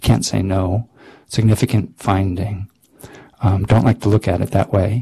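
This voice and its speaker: A man's voice sits fairly low, with a dark, mellow tone and vocal fry. He moves at a moderate pace with ordinary pitch variation. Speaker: psychology researcher and speaker. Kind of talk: lecture. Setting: grand rounds talk with audience.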